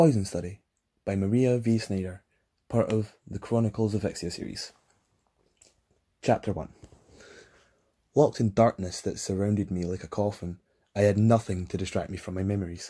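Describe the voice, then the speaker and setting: A man with a Scottish accent, fairly low pitch, ordinary pitch variation and a dark, mellow tone at a moderate pace with long, frequent pauses, in a very clean recording with a silent background. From Scotland. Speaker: audiobook narrator. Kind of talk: fantasy audiobook reading. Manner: relaxed.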